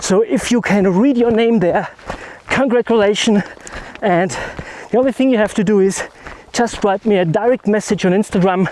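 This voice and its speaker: This man's high-pitched voice holds very even loudness at a moderate pace, with ordinary pitch variation and long, frequent pauses. Noticeable background noise is present. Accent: German. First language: German. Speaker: landscape photography vlogger. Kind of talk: vlog outro. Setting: outdoors hiking down a mountain.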